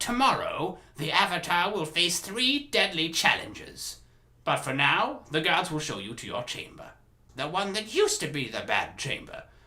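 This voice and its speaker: A man's put-on character voice, high in pitch with very wide pitch swings, at a moderate pace. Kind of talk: character voice impressions.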